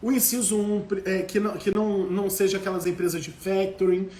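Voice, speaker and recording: Audible room echo surrounds this recording. A man with a high pitch speaks at a fairly slow pace. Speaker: law professor. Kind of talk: live lecture.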